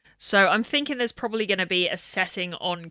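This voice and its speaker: A woman mumbles her words. Her pace is moderate. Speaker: video game streamer. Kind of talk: casual live stream chat. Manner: mumbling.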